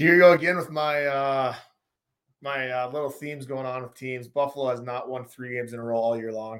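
In a plain, everyday voice with an American accent, the speaker moves at a fairly quick pace, intonation fairly even but loudness swinging widely. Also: man, medium pitch for a man. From North Dakota, US Upper Midwest. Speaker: former pro hockey player, betting analysis guest. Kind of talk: casual sports betting chat.

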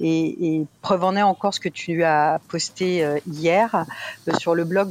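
The woman's fairly low voice has fairly even intonation and a dry, close sound with no echo. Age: 40s. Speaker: community member sharing experience. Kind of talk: interview testimony. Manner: halting, many repetitions.

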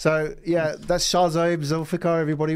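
The recording is very clean, the background silent. In it, a man talks at a fairly quick pace. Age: 40s. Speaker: podcast host. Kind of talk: interview. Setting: studio. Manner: animated, casual.

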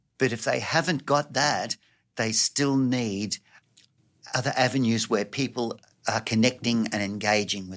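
A man with an Australian accent speaks at medium pitch and a fairly slow pace, with ordinary pitch variation. His loudness swings widely, and the recording is very clean with a silent background. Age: 70s. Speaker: youth worker and volunteer. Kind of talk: interview conversation.

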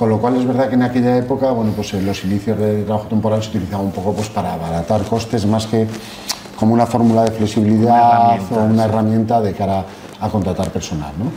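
Talking at a very fast pace, a man with a fairly low pitch is heard over noticeable background noise and audible room echo. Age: 50s. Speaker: temporary staffing industry executive. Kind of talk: interview.

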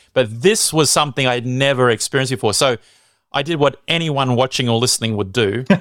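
With an Australian accent, a man talks at a fairly quick pace on a very clean recording with a silent background. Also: medium pitch for a man, ordinary pitch variation. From Australia (Sydney). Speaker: evangelist and radio content manager. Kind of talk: casual interview, personal testimony.

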